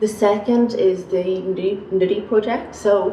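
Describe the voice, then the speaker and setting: Amid noticeable background noise and audible room echo, a woman with a Northern Irish accent speaks with fairly even intonation. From Northern Ireland, Belfast. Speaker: academic researcher. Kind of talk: panel talk. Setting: university seminar panel.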